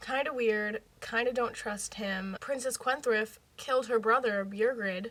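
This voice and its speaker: Noticeable background noise accompanies talking that unfolds at a fairly slow pace. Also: woman. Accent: American. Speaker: youtuber reacting to TV. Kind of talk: casual chat. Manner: animated.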